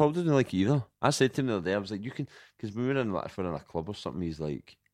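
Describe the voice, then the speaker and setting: A man talks at a very fast pace with a Glaswegian accent and very wide pitch swings. The sound is dry and close with no echo, over a quiet background. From Scotland, Glasgow. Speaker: comedian. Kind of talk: casual chat.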